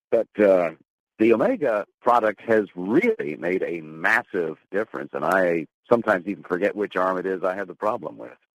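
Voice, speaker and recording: A man speaks with a very deep, low pitch and ordinary pitch variation. The sound is dry and close, with no echo. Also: moderate pace. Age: 70s. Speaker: retired newscaster, caller. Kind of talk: testimony.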